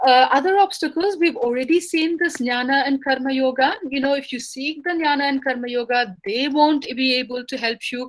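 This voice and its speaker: A woman with a high pitch and ordinary pitch variation speaks with hardly any pauses in a very clean recording with a silent background. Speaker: scholar giving a lecture. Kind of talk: lecture. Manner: fast; halting, many fillers.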